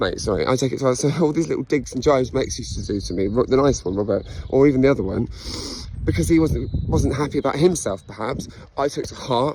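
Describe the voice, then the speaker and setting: Very fast, lively speech against noticeable background noise. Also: man, medium pitch for a man. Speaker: vlogger sharing personal story. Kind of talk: personal monologue. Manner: halting.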